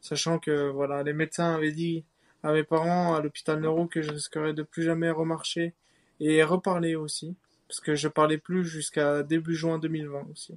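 Fairly high in pitch, a man speaks in a monotone, flat way at a moderate pace. The sound is dry and close with no echo. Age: 20s. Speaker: assault survivor. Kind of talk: personal testimony.

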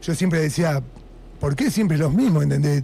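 Using a plain, everyday voice, this man talks at a fairly high pitch, his pitch varying in an ordinary way. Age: 40s. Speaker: punk band musician. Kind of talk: radio interview. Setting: radio studio.

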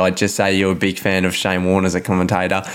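A very fast pace in an Australian accent. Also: man. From Melbourne, Australia. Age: 20s. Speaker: podcast co-host. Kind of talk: interview. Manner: energetic.

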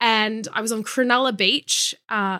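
A woman's bright, sharp tone with an Australian accent. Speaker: model and body positivity activist. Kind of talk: interview. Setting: video call.

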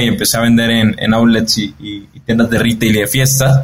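Pacing is moderate. The intonation holds fairly even. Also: man. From Mexico. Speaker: entrepreneur. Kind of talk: interview. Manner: halting, many repeated words and fillers.

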